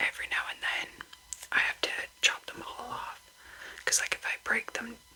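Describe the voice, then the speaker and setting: A very slow whisper, with background noise noticeable behind it. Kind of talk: casual talk to camera, nail care tips. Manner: whispered, slow.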